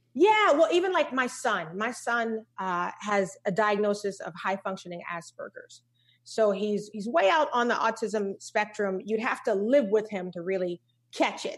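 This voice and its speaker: Her voice is an unremarkable speaking voice, fairly high for a woman, with lively intonation at a moderate pace. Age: 40s. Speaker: keynote speaker and coach. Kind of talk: casual chat.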